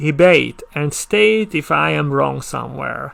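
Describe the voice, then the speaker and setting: A man speaks with a Hungarian accent. His pace is very slow. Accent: non-native English, Hungarian. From Hungary. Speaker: conference speaker. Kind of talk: conference talk. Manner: halting, with stammered restarts.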